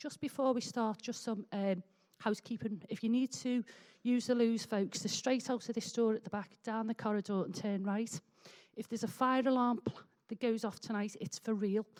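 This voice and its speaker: At a moderate pace, a woman with a Liverpool accent speaks at a fairly high pitch. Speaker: meeting chairperson. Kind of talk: public meeting chairing. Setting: public meeting in a hall with audience.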